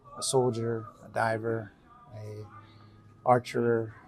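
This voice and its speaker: Against noticeable background noise, a man speaks at a medium pitch in a flat monotone. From Texas (Pasadena, near Houston). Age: 60s. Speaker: biker, military veteran. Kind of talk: interview. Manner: halting, many fillers.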